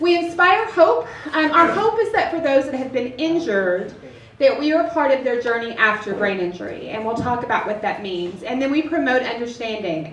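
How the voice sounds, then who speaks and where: With an American accent and a high voice, a woman talks at a fairly quick pace with very wide pitch swings, over noticeable background noise and audible room echo. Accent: Southern US, Texas accent comes and goes. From Texas. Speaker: nonprofit representative, brain injury advocate. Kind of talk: presentation to an audience. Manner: fast.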